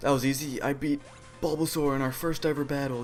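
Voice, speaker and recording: Moderately paced speech from a man, backed by music. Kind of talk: video game let's play commentary. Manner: quiet, somewhat mumbled.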